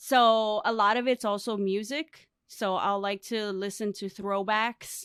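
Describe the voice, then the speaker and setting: A woman with an American accent talks at a fairly slow pace and a fairly even intonation, recorded very cleanly against a silent background. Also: fairly high pitch for a woman, dry, close sound with no echo. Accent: Chicago American English with Spanglish. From US, Chicago south side. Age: 30s. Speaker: lifestyle brand owner and podcaster. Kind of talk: casual interview chat.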